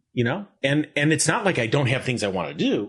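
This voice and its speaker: Lively in intonation and somewhat breathy, a man speaks with an American accent. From northern New Jersey. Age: 60s. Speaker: animation director and producer. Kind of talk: podcast interview. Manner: halting.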